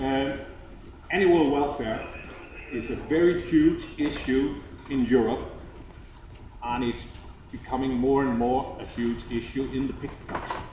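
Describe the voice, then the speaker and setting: Over noticeable background noise and audible room echo, the speaker talks at a fairly slow pace with fairly even intonation and long, frequent pauses. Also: man, medium pitch for a man. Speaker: agricultural seed company specialist. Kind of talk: presentation to farmers.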